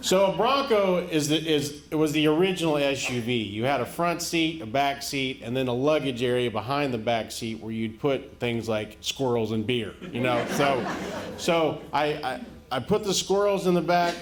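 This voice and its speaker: With lively intonation and a fairly high pitch, a man talks at a moderate pace over noticeable background noise. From rural America. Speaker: stand-up comedian. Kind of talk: stand-up comedy set.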